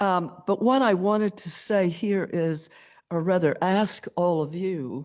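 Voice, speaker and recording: Very slow pace over a quiet background. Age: 80s+. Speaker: member of the public giving comment. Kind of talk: public comment at meeting. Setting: county planning meeting. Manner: halting.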